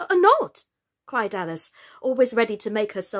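Reading aloud in a natural voice, the speaker comes through clearly. The background is quiet.

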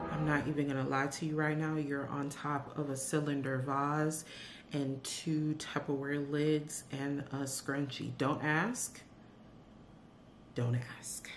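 A woman speaks at a very slow pace in a very deep, low pitch with monotone, flat intonation over light background noise. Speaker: vlogger. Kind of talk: casual vlog chat. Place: home room.

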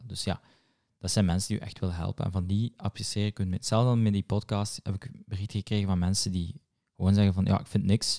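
With a Moroccan accent, a man speaks at a fairly quick pace and fairly low pitch, his tone dark and mellow, his intonation fairly even, over a quiet background. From Morocco. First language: Moroccan Arabic (speaking Dutch). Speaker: podcast host and comedy writer; podcast host. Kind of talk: casual chat. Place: home room. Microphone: studio mic.

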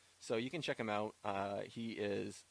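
A man speaks at a fairly slow pace in a fairly low pitch, with fairly even intonation and a dry sound with no echo. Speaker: podcast host. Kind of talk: casual podcast talk.

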